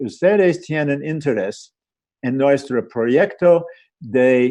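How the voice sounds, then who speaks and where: Speech comes at a very slow pace in an American accent. The tone is dark and mellow, with ordinary pitch variation. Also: man. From USA. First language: English (speaking Spanish). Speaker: sociologist and bioethics researcher. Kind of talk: panel presentation. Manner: halting, many fillers.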